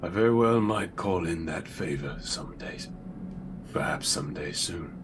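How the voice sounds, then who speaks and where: A put-on character voice talks at a moderate pace over clear background noise. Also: man, very deep, low pitch for a man. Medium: actual play. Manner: tired, understated.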